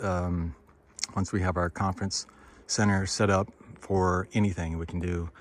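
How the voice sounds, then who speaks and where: A man with an American accent speaks at a moderate pace in a very deep, low pitch, his intonation monotone and flat. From United States. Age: 60s. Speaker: business consultant and property investor. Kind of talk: casual walkthrough pitch. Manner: casual, with many fillers.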